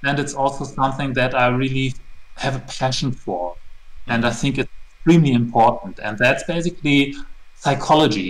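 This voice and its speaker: Speaking with a German accent, a man keeps a medium pitch, a moderate pace and ordinary pitch variation. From Germany. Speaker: tabletop RPG setting creator. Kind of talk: interview.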